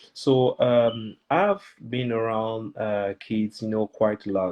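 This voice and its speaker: At a very slow pace, a man with a French accent speaks in a medium pitch with fairly even intonation. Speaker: children's author. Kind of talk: interview. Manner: halting, many fillers.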